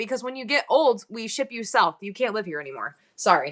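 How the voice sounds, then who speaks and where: A woman talks at a moderate pace with an American accent. Her tone is bright and sharp. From New York.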